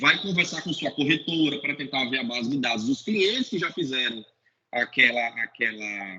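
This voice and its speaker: A man with a bright, sharp tone talks at a moderate pace, his intonation lively. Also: medium pitch for a man. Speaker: sales manager in health insurance. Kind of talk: webinar talk. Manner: repetitive stammering on words.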